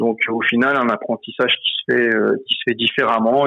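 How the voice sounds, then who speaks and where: In a plain, everyday voice, the speaker goes at a moderate pace with fairly even intonation. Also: man. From France, Seine-Saint-Denis (Paris suburbs). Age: 30s. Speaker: French immigrant in Quebec. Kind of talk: casual interview chat. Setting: phone call. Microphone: phone.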